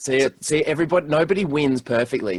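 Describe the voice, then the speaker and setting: Speaking with an Australian accent at a moderate pace, the voice has lively intonation on a very clean recording with a silent background. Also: man. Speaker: podcast guest.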